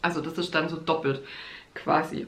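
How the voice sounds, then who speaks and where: A woman's voice with audible room echo. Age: 30s. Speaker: astrologer and podcast host. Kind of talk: solo podcast monologue, teaching astrology; promotional pitch for own course. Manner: casual with frequent fillers and laughs.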